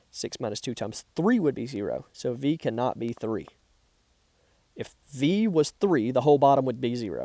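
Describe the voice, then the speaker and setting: Lively in intonation, a man's medium-pitched voice has a dark, mellow tone, recorded dry and close with no echo, very clean, with a silent background. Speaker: math teacher. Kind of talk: tutorial. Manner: fast.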